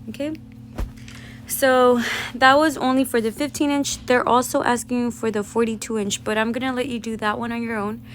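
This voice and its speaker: Noticeable background noise sits behind a woman speaking at a moderate pace with a high pitch. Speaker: math teacher. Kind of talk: tutorial.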